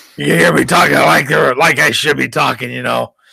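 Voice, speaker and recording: Speaking with vocal fry, a man has a bright, sharp tone. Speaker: co-host. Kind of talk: casual chat.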